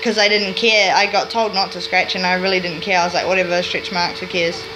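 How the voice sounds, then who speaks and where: A woman with a New Zealand accent speaks with ordinary pitch variation, audible room echo and noticeable background noise. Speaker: vlogger. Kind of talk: casual vlog monologue.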